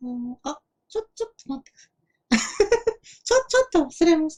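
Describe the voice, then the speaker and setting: A put-on character voice delivers the lines at a fairly quick pace. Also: man, extremely high pitch for a man. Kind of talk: game let's play commentary. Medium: role play. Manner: casual.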